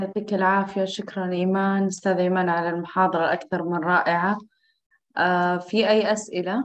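Against a quiet background, a woman speaks at a medium pitch and a moderate pace, her intonation flat and monotone. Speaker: course moderator. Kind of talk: moderating an online course. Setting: video call. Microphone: video call.

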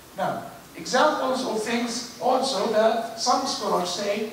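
Recorded with strong room echo and light background noise, a man talks at a high pitch with ordinary pitch variation. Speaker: imam giving a lecture. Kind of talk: religious lecture. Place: church.

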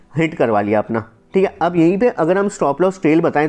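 This is a man speaking. His pitch sits high. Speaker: stock market educator. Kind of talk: tutorial. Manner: fast; casual.

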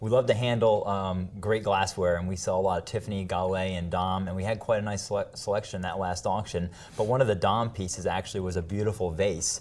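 A man in a normal speaking voice, fairly low pitch, fairly even intonation, a fairly quick pace and hardly any pauses. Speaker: auctioneer and appraiser. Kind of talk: TV news segment interview answer.

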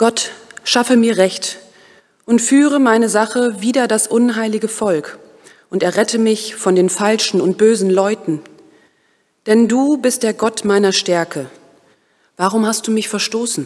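Pausing long and often, a woman speaks at a fairly slow pace with a fairly high pitch and ordinary pitch variation. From Germany, Osnabrück; Germany. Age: 30s. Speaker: vicar in training. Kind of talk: prayer; self-introduction. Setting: church. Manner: hesitant, with filler sounds. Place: church. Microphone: podium.

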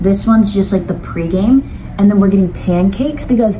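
A woman talks with ordinary pitch variation, and light background noise sits behind her. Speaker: vlogger. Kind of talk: casual vlog chat. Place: home room. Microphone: phone near.

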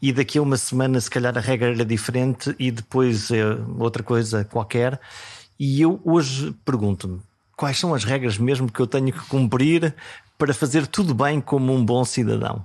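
A man talks at a moderate pace in a medium pitch with ordinary pitch variation. The recording is very clean, with a silent background. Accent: European Portuguese. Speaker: podcast host. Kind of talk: scripted narration.

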